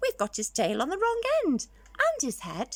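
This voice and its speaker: At a moderate pace, a female-sounding voice performs a put-on character voice at a high pitch for a woman. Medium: read story.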